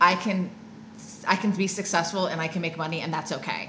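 Noticeable background noise behind a woman's medium-pitched voice at a fairly quick pace. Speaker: life coach and recovery coach, podcast co-host. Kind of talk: casual podcast conversation. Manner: excited, upbeat.

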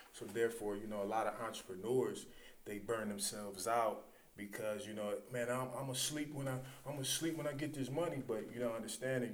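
An American-accented man speaks at a medium pitch and a fairly quick pace, with ordinary pitch variation. Audible room echo surrounds his voice. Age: 40s. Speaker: author and martial artist. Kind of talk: casual interview. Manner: halting.

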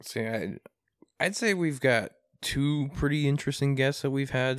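A man with a Midwestern US accent talks on a very clean recording with a silent background. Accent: US Midwest. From Iowa, Des Moines area. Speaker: podcast co-host. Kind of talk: casual chat.

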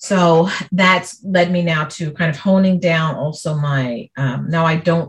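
Her voice is somewhat breathy and fairly low for a woman. The intonation stays fairly even. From New York City (Brooklyn). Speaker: speech pathologist. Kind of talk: business coaching conversation. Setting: recorded call.

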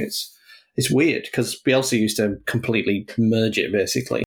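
This man has an unremarkable speaking voice and talks at a fairly quick pace with fairly even intonation. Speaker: football podcast panelist. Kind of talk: casual chat.

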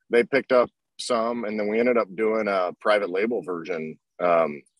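A man with an American accent speaks at a moderate pace in a fairly low pitch, with ordinary pitch variation and an unremarkable speaking voice. The sound is dry and close, with no echo. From Oklahoma. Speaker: business owner, detailing tool maker. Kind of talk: interview. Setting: live stream.

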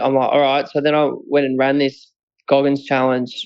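Here a man with an Australian accent speaks at a fairly high pitch. His moderate-paced delivery is monotone and flat. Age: 20s. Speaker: mental health advocate, recovered addict. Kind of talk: interview, personal story.

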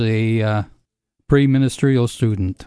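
With an American accent, the speaker has a dark, mellow tone and fairly even intonation, moving at a moderate pace over a quiet background. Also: man. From Michigan. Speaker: retired widower. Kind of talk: interview reminiscence.

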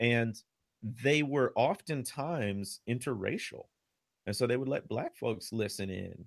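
A man with an American accent and an unremarkable speaking voice talks at a fairly slow pace in a medium pitch with lively intonation, on a very clean recording with a silent background. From Chicago area. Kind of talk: interview on history and faith.

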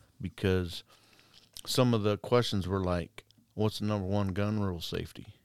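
Recorded very clean with a silent background and a dry, close sound with no echo, a man speaks at a fairly low pitch and moderate pace, with fairly even intonation and long, frequent pauses. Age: 40s. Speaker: corrections deputy. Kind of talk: casual chat.

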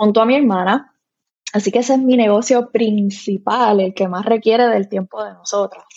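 A woman with a medium pitch and fairly even intonation talks in an ordinary speaking voice. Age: 30s. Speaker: content creator and mom blogger. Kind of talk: casual interview chat.

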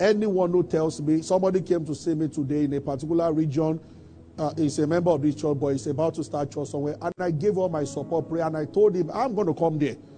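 Speaking very fast in a Nigerian accent, a man has a fairly high pitch and a dark, mellow tone. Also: ordinary pitch variation. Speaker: pastor. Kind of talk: sermon. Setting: church. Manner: animated.

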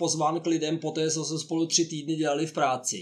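A plain, everyday voice from a man, fairly high in pitch and fairly quick, on a very clean recording with a silent background. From Czechia. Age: 50s. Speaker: honorary consul and career coach. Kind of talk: interview.

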